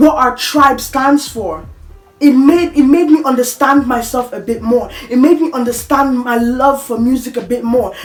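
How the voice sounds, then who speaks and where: Over music in the background, a woman talks at a moderate pace in a high voice. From Africa. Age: 20s. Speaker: vlogger. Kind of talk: personal monologue. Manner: halting.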